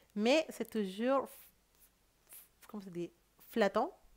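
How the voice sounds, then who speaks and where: On a very clean recording with a silent background, a woman's voice comes through. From South America. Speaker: tarot reader. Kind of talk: tarot reading monologue. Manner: hesitant, many fillers.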